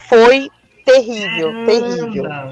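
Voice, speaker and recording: A woman speaks in an animated tone with lively intonation. The sound is dry and close, without echo. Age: 40s. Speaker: eyebrow designer and beauty entrepreneur. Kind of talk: casual interview chat.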